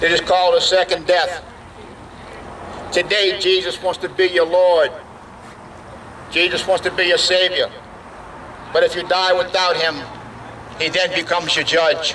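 Loud and high-pitched, a man speaks fairly slowly in a flat monotone, with long, frequent pauses and light background noise. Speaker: evangelist, street preacher. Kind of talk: fire-and-brimstone street sermon. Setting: outdoors, at a biker bar. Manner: loud, fervent, emphatic. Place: street. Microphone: headset.

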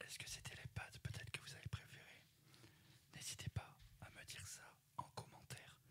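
He keeps to a moderate pace. The speaker is a man who whispers. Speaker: ASMR YouTuber. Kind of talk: casual vlog chat. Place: home room. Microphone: studio mic.

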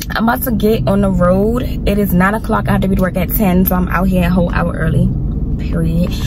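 Music plays in the background of this dry recording with no echo. The speaker talks at a fairly quick pace. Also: woman. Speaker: vlogger. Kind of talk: casual vlog chat. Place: car. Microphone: phone near.

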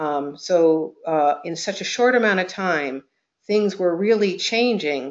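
A woman speaks at a fairly slow pace with ordinary pitch variation in an unremarkable speaking voice. The background is quiet. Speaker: webinar presenter. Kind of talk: presentation talk. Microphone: video call.

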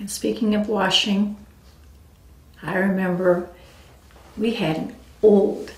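Speaking very slowly with long, frequent pauses, this American-accented voice swings widely in loudness while the room echo is audible. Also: woman. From US West Coast, San Diego area; California. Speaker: family storyteller recording life legacy. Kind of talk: personal memoir narration. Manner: relaxed, with frequent fillers (um, uh). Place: home room.

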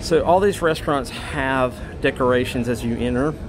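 This man delivers his words at a fairly slow pace, with noticeable background noise behind him. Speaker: cruise passenger vlogger. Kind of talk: walking tour commentary. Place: hall. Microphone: phone near.

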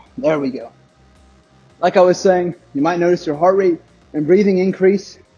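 Faint music plays behind a man who speaks fairly quickly at a high pitch with ordinary pitch variation. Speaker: fitness instructor. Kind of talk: workout instruction. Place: gym.

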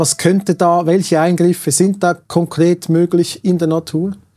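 The man's voice is high in pitch with a dark, mellow tone, moving at a fairly slow pace. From Switzerland. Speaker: talk show host. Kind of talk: political interview. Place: studio.

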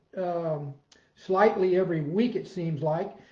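Fairly slow delivery with ordinary pitch variation, a quiet background, and audible room echo. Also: man. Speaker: fitness coach. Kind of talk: casual vlog chat. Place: home room. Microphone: webcam.

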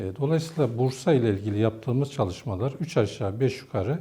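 At a moderate pace, a man talks with lively intonation in a dark, mellow tone that is somewhat breathy. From northeastern Turkey (Ardahan, Posof). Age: 50s. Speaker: theology professor. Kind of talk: interview monologue. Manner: formal.

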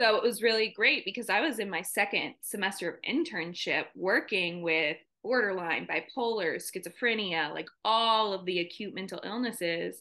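With an American accent, a woman of medium pitch talks at a moderate pace with hardly any pauses. Her pitch varies in an ordinary way over a quiet background. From South Carolina. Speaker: mental health counselor; guest. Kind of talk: interview. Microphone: video call.

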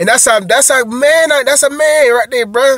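In a dry recording with no echo and a quiet background, a man talks fairly quickly in an animated tone. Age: 30s. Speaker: truck driver vlogger. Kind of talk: casual monologue vlog. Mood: frustrated, venting about former employer. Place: car. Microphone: phone near.

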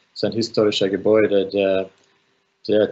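This man speaks with a Finnish accent at a fairly low pitch. His intonation stays monotone and flat. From Finland. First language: Finnish (speaking German). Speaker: architect and filmmaker; architect lecturer. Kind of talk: online lecture; lecture. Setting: video call. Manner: halting. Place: home room. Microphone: video call.

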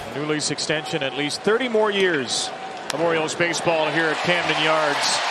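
Moderate-paced speech with a dry sound and no echo, over loud background noise. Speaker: baseball play-by-play announcer. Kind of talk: live sports play-by-play commentary. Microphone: headset.

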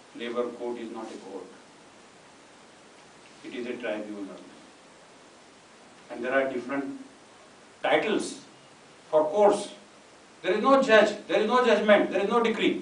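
A man with a high pitch talks at a moderate pace, with long, frequent pauses, big swings in loudness and audible room echo. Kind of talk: lecture. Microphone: podium.

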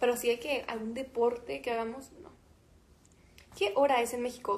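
A high-pitched woman's voice at a moderate pace, with long, frequent pauses and big swings in loudness. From Mexico. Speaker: musician. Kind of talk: casual livestream chat with fans. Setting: Instagram live stream. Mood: relaxed, chatty. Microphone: phone near.

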